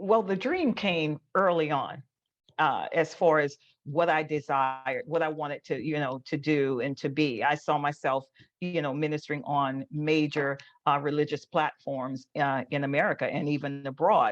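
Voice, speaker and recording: Against a quiet background, a woman with a very deep, low pitch speaks at a moderate pace with fairly even intonation. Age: 60s. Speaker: ordained minister and motivational speaker. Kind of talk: casual interview. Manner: halting, many fillers and repeats.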